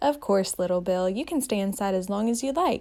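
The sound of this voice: An unforced reading voice moves through the text with lively intonation.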